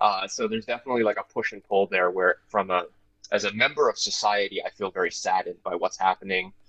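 With a dry, close sound and no echo, a man in a Canadian accent talks at a very fast pace. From Canada, Toronto area (Scarborough, Ontario). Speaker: actor. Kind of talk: interview.

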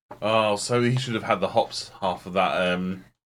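With a very deep, low pitch, a man talks in a fairly even intonation. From southeast England, near London. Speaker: podcast co-host. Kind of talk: casual chat.

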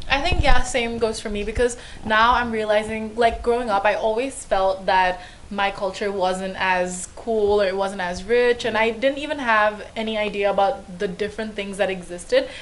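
Background noise is noticeable behind a woman's voice. She speaks at a fairly high pitch with ordinary pitch variation. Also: moderate pace. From India, then Hong Kong. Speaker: podcast co-host, university student. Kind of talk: casual chat. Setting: video recording.

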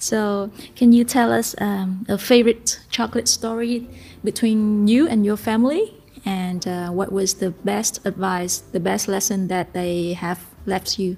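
With a Vietnamese accent, a woman speaks at a fairly slow pace in a medium pitch, somewhat breathy, with a dark, mellow tone and ordinary pitch variation. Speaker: podcast co-host, restaurateur. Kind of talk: casual interview. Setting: studio.

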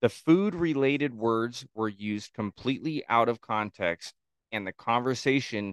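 Against a quiet background, a man speaks fairly slowly at medium pitch with ordinary pitch variation, in a dry, close sound with no echo. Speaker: podcast guest, co-host. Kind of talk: casual chat. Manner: loud.

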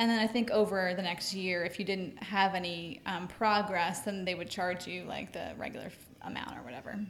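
Audible room echo colors a woman's voice as she speaks at a fairly quick pace with hardly any pauses. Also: medium pitch for a woman, fairly even intonation. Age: 30s. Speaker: stay-at-home mom, gym member. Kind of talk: casual interview.

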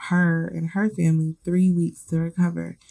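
With a dark, mellow tone, a woman speaks at a fairly low pitch, somewhat breathy, in a dry, close sound with no echo. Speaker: podcast host. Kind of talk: casual monologue. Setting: home recording. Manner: casual, lots of fillers.

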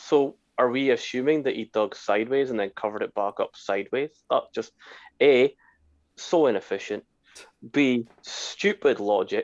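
Over a quiet background, a man with a Scottish accent talks at a moderate pace, leaving long, frequent pauses. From Scotland. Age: 40s. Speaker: podcast co-host. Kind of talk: casual chat.

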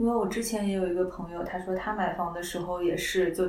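A woman speaks at a medium pitch with fairly even intonation. Audible room echo and noticeable background noise surround her voice. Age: 30s. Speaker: content operations director. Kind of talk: casual chat.

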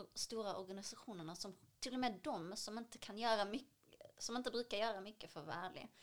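Here is a woman with a plain, everyday voice and a fairly high pitch. She keeps a moderate pace with ordinary pitch variation. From Syria. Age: 20s. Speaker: cultural activist and dancer. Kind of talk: interview.

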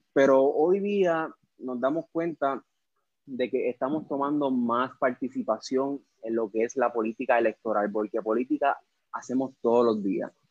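With an ordinary speaking voice, a man talks at a moderate pace with ordinary pitch variation, the sound dry and close with no echo. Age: 20s. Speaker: political candidate. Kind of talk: political discussion on Facebook Live. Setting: Facebook Live.

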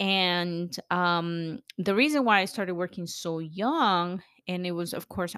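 A woman speaks at a fairly slow pace in an animated, bright, sharp tone, with a dry, close sound with no echo on a very clean recording with a silent background. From El Salvador. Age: 40s. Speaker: podcast host and accountant. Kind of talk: solo monologue podcast.

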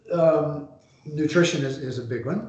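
The speaker has an American accent and talks at a fairly slow pace with ordinary pitch variation. Noticeable background noise is present. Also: man. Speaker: endurance coach and author. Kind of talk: interview.

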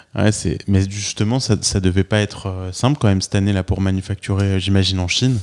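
The sound is dry and close, with no echo. A plain, everyday voice speaks with fairly even intonation. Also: man, fairly low pitch for a man. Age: 40s. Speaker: podcast host and entrepreneur. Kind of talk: interview. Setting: office.

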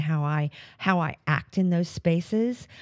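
Speaking at a fairly slow pace, a woman with a plain, everyday voice and a fairly low pitch comes through on a very clean recording with a silent background. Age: 60s. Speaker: podcast host and life coach. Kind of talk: solo motivational talk. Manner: casual, with frequent fillers and restarts.

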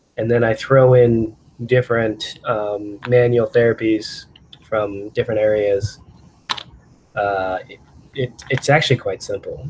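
A man speaks at a fairly slow pace with long, frequent pauses and big swings in loudness. His pitch is medium, his intonation fairly even, and there is noticeable background noise. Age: 30s. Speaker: chiropractor. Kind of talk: casual interview.

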